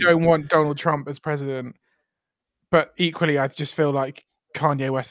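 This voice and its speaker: Fairly high in pitch, a man talks with a North London accent. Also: dry, close sound with no echo. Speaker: podcast co-host.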